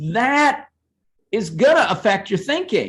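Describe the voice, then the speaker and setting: With an American accent, a man speaks in a bright, sharp tone. His pace is fairly slow. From United States. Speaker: seminar host and academic. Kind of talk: academic seminar discussion.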